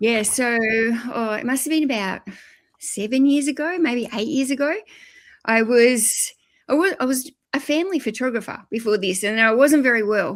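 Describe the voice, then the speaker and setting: A woman with an Australian accent speaks at a moderate pace in a high voice, leaving long, frequent pauses. The recording is very clean, with a silent background. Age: 50s. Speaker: YouTuber and eBay reseller. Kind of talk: podcast interview.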